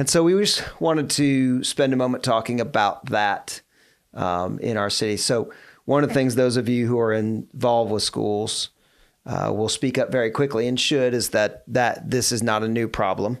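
Moderate pace and ordinary pitch variation from a plain, everyday voice, on a very clean recording with a silent background. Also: man, medium pitch for a man. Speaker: podcast co-host.

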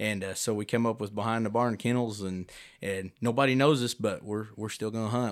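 On a very clean recording with a silent background, a man with an American accent has an ordinary speaking voice at medium pitch, with ordinary pitch variation and a fairly quick pace. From southwest Missouri (Neosho). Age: 30s. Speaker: coonhound breeder and musician. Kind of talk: casual chat.

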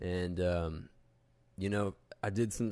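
In a very clean recording with a silent background, a man speaks at a fairly slow pace in a dark, mellow tone with fairly even intonation. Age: young. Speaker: bible student. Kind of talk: casual faith discussion. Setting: studio, face to face.

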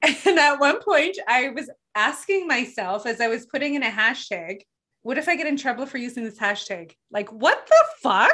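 A woman's raised, projected voice, high in pitch and bright, sharp in tone, with very wide pitch swings, a moderate pace and a quiet background. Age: 40s. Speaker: podcast host and life coach. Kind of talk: interview.

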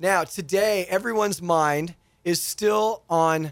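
On a very clean recording with a silent background, the voice sounds animated and energetic with lively intonation. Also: man. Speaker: radio host and pastor. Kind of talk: radio talk show discussion. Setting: radio studio. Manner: animated, energetic.

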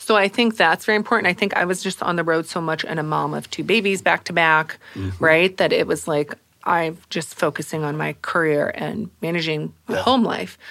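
Fairly quick, nearly pause-free speech from a woman with a bright, sharp tone, fairly low pitch and vocal fry. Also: ordinary pitch variation. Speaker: marketing executive. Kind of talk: casual interview chat.

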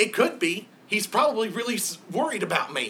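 A man puts on a character voice. It is high in pitch and delivered at a fairly quick pace. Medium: actual play. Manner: squeaky.

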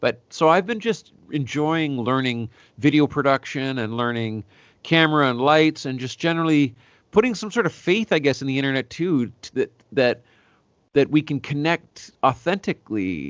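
Using an ordinary speaking voice, a man with a Canadian accent talks at a fairly high pitch. His intonation is lively and his pace moderate. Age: 40s. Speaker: singer-songwriter. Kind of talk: casual interview.

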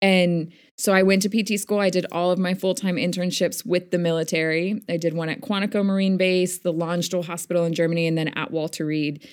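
A woman's ordinary speaking voice, fairly low in pitch, fairly quick, with fairly even intonation and hardly any pauses. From US, Northern Virginia (Army childhood). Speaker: physical therapist and teacher. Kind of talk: casual interview.

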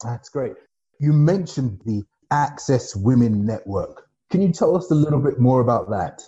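At a moderate pace, a man talks with lively intonation in a fairly high, somewhat breathy voice with a dark, mellow tone. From not Nigeria; once lived there a few years. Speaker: podcast host and bank executive. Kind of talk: interview.

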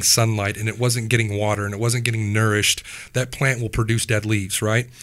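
A man with a Midwestern US accent, medium pitch, and a very fast pace. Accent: US Midwest. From Wichita, Kansas. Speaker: former prisoner sharing testimony. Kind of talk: testimony. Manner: animated.

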